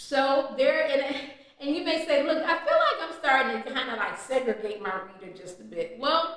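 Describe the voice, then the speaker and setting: Her tone is animated and her intonation lively, with a high pitch for a woman and a moderate pace. Audible room echo surrounds the voice. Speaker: author coach and editor. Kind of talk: video tutorial. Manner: loud.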